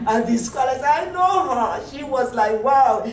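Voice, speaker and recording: Someone with a Nigerian accent talks at a moderate pace, with audible room echo and noticeable background noise. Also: woman. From Nigeria (Yoruba). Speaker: language teaching director. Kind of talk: workshop presentation. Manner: animated.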